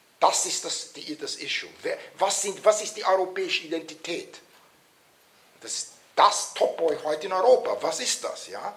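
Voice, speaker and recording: A man talks at a moderate pace with big swings in loudness. Noticeable background noise and audible room echo surround him. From Vienna, Austria. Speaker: political scientist and author. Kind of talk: lecture. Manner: halting, many fillers.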